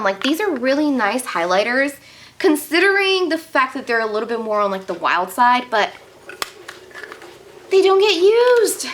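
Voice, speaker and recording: A woman with an American accent speaks at a moderate pace in a high voice, her pitch swinging very widely over noticeable background noise. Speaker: beauty youtuber. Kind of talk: casual makeup declutter video. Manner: animated.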